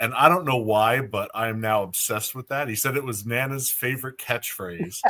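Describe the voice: Text read aloud plainly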